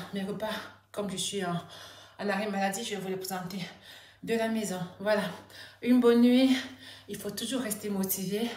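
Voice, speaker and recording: There is audible room echo around a woman's voice. She speaks with monotone, flat intonation. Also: medium pitch for a woman, moderate pace. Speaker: vlogger. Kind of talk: personal vlog. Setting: at home. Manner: halting.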